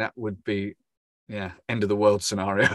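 Speaking in an English accent at a fairly quick pace, a man with a medium pitch comes through on a very clean recording with a silent background. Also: dry, close sound with no echo. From England. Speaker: football commentator. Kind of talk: casual chat. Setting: podcast. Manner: hesitant, many fillers.

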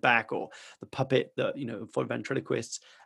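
A man speaks in a medium pitch with vocal fry on a very clean recording with a silent background. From France. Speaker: entrepreneur and speaker. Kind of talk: interview conversation. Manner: animated; halting.

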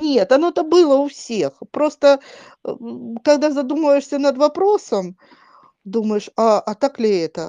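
Her pitch high and swinging very widely, a woman with a dark, mellow tone speaks at a fairly slow pace with long, frequent pauses, in a dry, close sound with no echo. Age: 50s. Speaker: podcast panelist. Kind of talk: casual chat.

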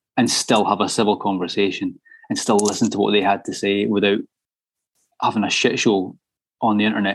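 The speaker has a Scottish accent. The pace is very fast. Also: man. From Scotland. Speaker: metal musician. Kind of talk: casual chat.

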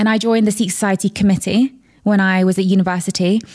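In a London accent, a woman speaks with monotone, flat intonation, the sound dry and close with no echo on a very clean recording with a silent background. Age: 20s. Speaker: entrepreneur and influencer. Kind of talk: casual chat.

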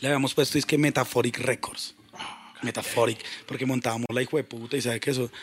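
A man speaks at a very fast pace in an animated tone, his pitch medium. Noticeable background noise runs under his voice. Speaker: hip hop producer. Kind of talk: casual chat.

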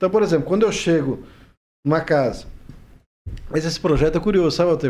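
Speaking very fast but with long, frequent pauses, a man uses lively intonation at a fairly high pitch. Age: 40s. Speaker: social worker and regional sports official. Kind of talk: podcast interview.

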